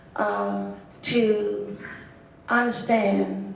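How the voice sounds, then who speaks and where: A woman talks with an American accent. Noticeable background noise and audible room echo are present. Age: 70s. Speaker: associate minister and hospital chaplain. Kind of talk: panel discussion.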